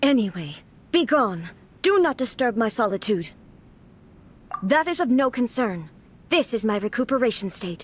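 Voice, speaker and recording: A put-on character voice at a moderate pace, broken by long, frequent pauses. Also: female-sounding voice, fairly high pitch for a woman. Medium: video game. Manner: cold, clipped, formal.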